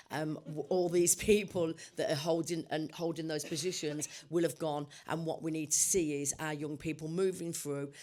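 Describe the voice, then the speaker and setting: A woman with a British accent speaks at a moderate pace in a very deep, low voice, with monotone, flat intonation and a dark, mellow tone. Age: 60s. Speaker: construction industry panelist. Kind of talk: panel discussion.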